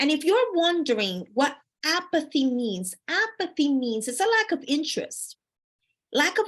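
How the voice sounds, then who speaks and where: This woman talks at a fairly slow pace, her pitch high. Her tone is energetic, with very wide pitch swings. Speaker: life coach. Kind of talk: motivational talk. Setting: live stream. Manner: lively and energetic.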